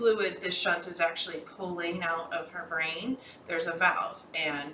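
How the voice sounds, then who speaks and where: There is noticeable background noise and audible room echo as a woman talks with ordinary pitch variation. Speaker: cat rescue foster host. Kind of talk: livestream casual chat. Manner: slow.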